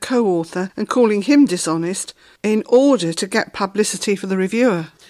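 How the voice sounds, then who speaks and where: A woman uses a plain, everyday voice, her intonation lively throughout. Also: hardly any pauses. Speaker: co-host asking questions. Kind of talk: explanatory dialogue about a book.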